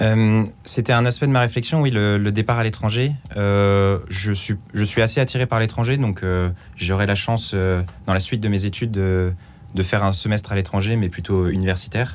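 This man has an ordinary speaking voice with a fairly low pitch and fairly even intonation. His pace is moderate and his loudness very even. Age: 20s. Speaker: engineering student volunteer. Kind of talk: radio interview. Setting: studio.

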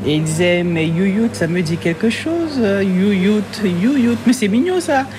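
Her intonation is lively as the woman speaks at a moderate pace. There is noticeable background noise. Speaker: ice cream maker. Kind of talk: casual chat.

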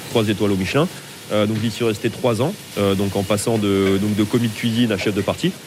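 Fairly quick speech from a man at a fairly low pitch, fairly even in intonation, over noticeable background noise. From Lyon, France. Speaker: chef. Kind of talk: interview. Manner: halting.

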